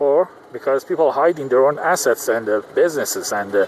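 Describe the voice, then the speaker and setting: Speaking fairly quickly with lively intonation, a man with a non-native accent has a fairly high pitch, and noticeable background noise is present. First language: not English. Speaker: vlogger. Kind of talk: casual vlog monologue. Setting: in a car in traffic. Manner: halting, many fillers.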